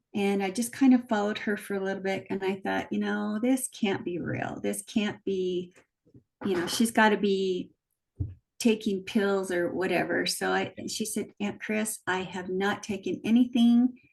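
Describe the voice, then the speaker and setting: A woman with a medium pitch keeps her intonation fairly even and her pace moderate. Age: 60s. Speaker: weight loss client. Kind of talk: interview testimony. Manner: hesitant, many fillers.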